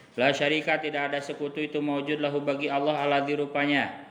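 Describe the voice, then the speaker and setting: Room echo is audible as a man talks. His fairly high voice stays monotone and flat. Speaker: religious teacher. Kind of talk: kitab study reading with translation.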